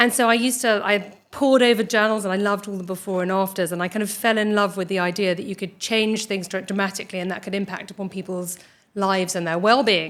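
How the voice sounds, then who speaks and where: In a British accent, the words come at a very fast pace with fairly even intonation. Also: woman, medium pitch for a woman. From United Kingdom, Irish parents. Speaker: dermatologist and skin cancer surgeon. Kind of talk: interview. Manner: hesitant, many fillers.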